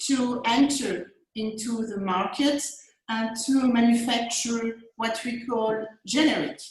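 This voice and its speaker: Over audible room echo, a woman talks at a very slow pace in a fairly high voice with lively intonation. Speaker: academic panelist. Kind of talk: webinar panel discussion. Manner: halting, many fillers and repetitions.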